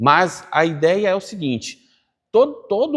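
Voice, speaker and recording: The background is quiet. A man speaks in an animated tone. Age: 50s. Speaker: business course teacher, online creator. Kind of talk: casual interview conversation.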